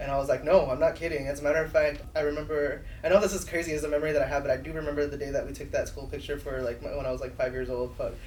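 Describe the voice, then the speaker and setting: Speaking at a very fast pace with a Spanish accent, this voice comes through noticeable background noise and audible room echo. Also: man. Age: 30s. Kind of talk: casual chat. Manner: animated.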